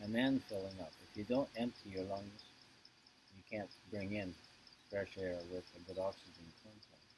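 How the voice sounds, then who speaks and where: A man with a fairly low pitch and a somewhat breathy voice keeps his intonation fairly even. His loudness swings widely, and he takes long, frequent pauses. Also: moderate pace. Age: 70s. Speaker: yoga teacher. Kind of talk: interview answer.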